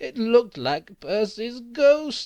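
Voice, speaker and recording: Pitched fairly high, the voice is clearly a put-on character. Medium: read story.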